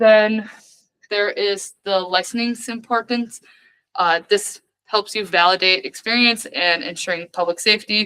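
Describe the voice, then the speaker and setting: Fairly slow, fairly even speech from a woman with a bright, sharp tone at a medium pitch, on a very clean recording with a silent background. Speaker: student study session leader. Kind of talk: lecture.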